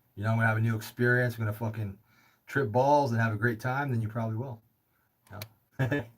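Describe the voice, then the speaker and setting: In an American accent, a man of medium pitch speaks at a very fast pace, somewhat breathy, with monotone, flat intonation. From California. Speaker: livestream host taking calls. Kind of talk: casual call-in chat. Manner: casual, halting with filler words.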